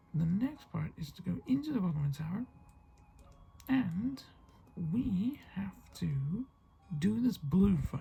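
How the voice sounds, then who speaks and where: Music runs in the background of this quiet voice with a British accent. The pace is fairly slow, broken by long, frequent pauses. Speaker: gaming youtuber. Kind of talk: let's play commentary.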